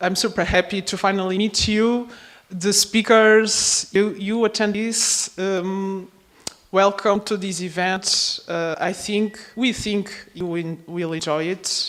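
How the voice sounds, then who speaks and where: Speaking very slowly at a medium pitch, a woman with a Portuguese accent is heard over noticeable background noise. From Portugal. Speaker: project coordinator. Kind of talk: conference opening speech. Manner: halting.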